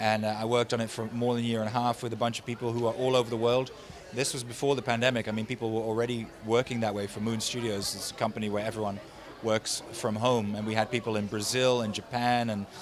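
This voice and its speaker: The speech runs at a very fast pace in a Dutch accent, with monotone, flat intonation. Noticeable background noise sits behind it. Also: man, medium pitch for a man. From Netherlands. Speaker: voice actor and animation director. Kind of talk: casual interview. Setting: convention.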